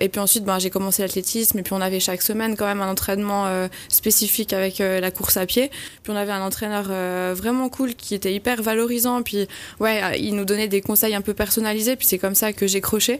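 Her delivery is monotone and flat at a fairly quick pace. The woman's pitch sits in the medium range. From French-speaking Switzerland, Valais Chablais. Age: 20s. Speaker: amateur trail runner, hospital worker. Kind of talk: radio interview. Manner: hesitant, with fillers and repetitions.

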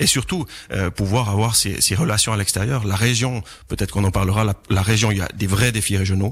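A somewhat breathy man speaks at a fairly quick pace with a fairly low pitch, very even loudness and fairly even intonation. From Chablais, Vaud, Switzerland. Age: 30s. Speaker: local politician. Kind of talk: radio debate.

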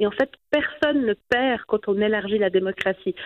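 In a fairly high voice, a woman speaks with ordinary pitch variation. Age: 30s. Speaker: politician. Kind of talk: radio interview.

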